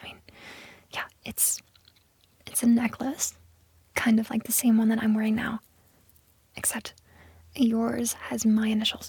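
Using a put-on character voice, a woman speaks fairly high, slightly mellow, with a husky, rough edge and vocal fry, in a monotone, flat delivery at a fairly slow pace broken by long, frequent pauses.

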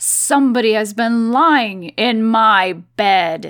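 A woman speaks very slowly in a put-on character voice with a fairly high pitch. The recording is very clean, with a silent background.

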